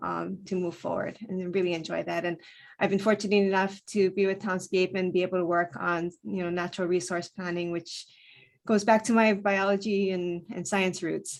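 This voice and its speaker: A woman with a Hawaiian accent speaks at a moderate pace and medium pitch in a monotone, flat intonation. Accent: Hawaii English. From Hawaii, Hilo on the Big Island. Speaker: planner. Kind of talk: self-introduction in virtual meeting. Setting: Zoom video call.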